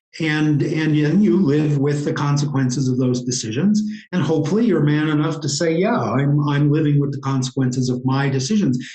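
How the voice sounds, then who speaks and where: There is audible room echo as a man with an American accent and fairly high pitch talks at a fairly quick pace, with ordinary pitch variation and hardly any pauses. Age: 60s. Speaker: interview guest, writer. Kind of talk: interview.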